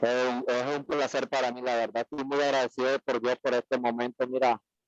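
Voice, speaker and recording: A man talks at a moderate pace and medium pitch in a monotone, flat delivery. The sound is dry and close, with no echo. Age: 30s. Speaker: course participant. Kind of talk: testimony. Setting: video call from workplace.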